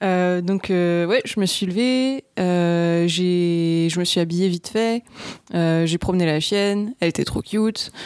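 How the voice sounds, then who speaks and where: The voice moves at a very slow pace, with very even loudness and ordinary pitch variation. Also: woman, fairly low pitch for a woman. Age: 30s. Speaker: online English teacher. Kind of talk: casual interview.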